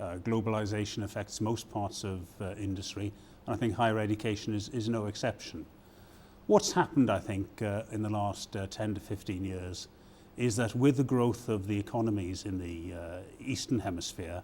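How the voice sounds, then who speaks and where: A man with a British accent has a dark, mellow tone and a fairly low pitch. He speaks at a moderate pace with fairly even intonation. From Britain. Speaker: university provost. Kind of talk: interview. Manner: halting, many fillers.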